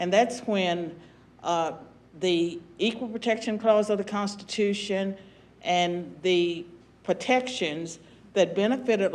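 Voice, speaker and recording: Speaking very slowly with an American accent, a woman holds a medium pitch with ordinary pitch variation. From US South, southwestern Virginia. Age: 70s. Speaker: former political science professor and commentator. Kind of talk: panel discussion.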